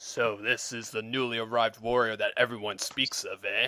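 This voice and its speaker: Using a put-on character voice, a man speaks raspy and monotone, with flat intonation, a medium pitch and a moderate pace, on a very clean recording with a silent background. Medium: read story. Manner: sneering, boastful.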